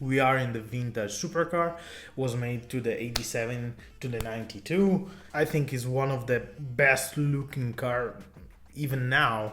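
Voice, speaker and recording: Somewhat breathy and at a fairly slow pace, the voice has ordinary pitch variation and an Italian accent. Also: man. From Italy. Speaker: car YouTuber. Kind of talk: casual talk to camera.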